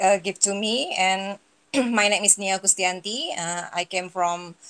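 A woman speaks at a fairly slow pace and a medium pitch. Her tone is fairly bright and her intonation fairly even.

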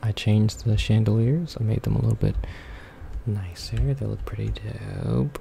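With light background noise behind him, a soft-spoken man talks at a moderate pace, leaving long, frequent pauses. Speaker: ASMR creator. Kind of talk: relaxing ASMR video game commentary. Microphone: studio mic.

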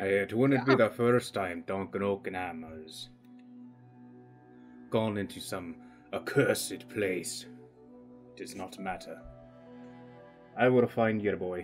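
In a put-on character voice, the speaker goes at a fairly slow pace with long, frequent pauses while music plays clearly in the background. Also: man, fairly low pitch for a man. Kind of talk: in-character role-play speech. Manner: gruff, resolute.

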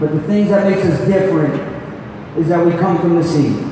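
Against noticeable background noise and strong room echo, a man speaks with a high pitch and ordinary pitch variation. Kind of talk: ceremony speech. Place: hall. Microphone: pa.

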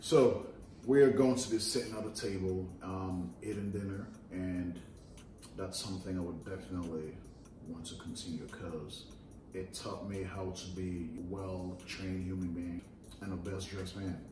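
Over noticeable background noise and audible room echo, a man speaks with a very deep, low pitch, ordinary pitch variation and big swings in loudness. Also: moderate pace. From Sierra Leone. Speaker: YouTuber, fashion content creator. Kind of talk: casual chat.

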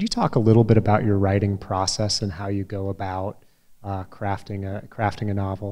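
Against a quiet background, a man with a Midwestern American accent speaks at a fairly quick pace in a dark, mellow tone, fairly low in pitch and monotone in intonation. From US Midwest. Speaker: event moderator, former newspaper publisher. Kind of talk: moderated interview. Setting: stage with audience. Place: hall. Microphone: handheld.

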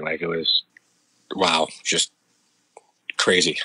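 Speaking at a fairly slow pace with a Canadian accent, a man is heard in a dry, close recording with no echo. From Canada, Ontario countryside. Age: 40s. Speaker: military veteran. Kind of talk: interview testimony.

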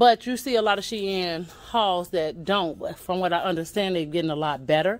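At a moderate pace and with hardly any pauses, a woman speaks at a medium pitch with ordinary pitch variation. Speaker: YouTube vlogger; vlogger. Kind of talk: casual store tour vlog. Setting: in a thrift store. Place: shop. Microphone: phone near.

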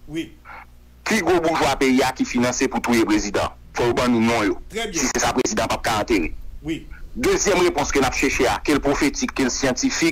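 There is noticeable background noise behind the voice. A man speaks at a moderate pace. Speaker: political commentator. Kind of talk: radio interview.

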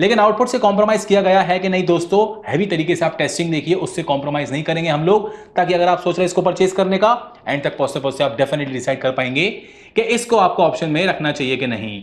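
The intonation is lively. A man delivers it at a fairly quick pace. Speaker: tech reviewer. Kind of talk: product review intro. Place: studio.

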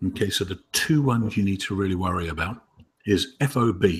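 Ordinary pitch variation in a voice that is somewhat breathy. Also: man. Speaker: webinar host. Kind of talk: casual webinar discussion. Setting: video call.

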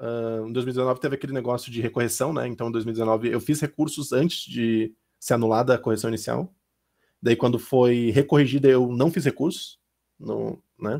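A man speaks with a dark, mellow tone and fairly even intonation. His pace is moderate, and the background is quiet. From Santa Catarina, southern Brazil (Lages); Santa Catarina, Brazil. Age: 20s. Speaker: diplomat, successful exam candidate; candidate. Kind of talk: interview. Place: home room. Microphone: headset.

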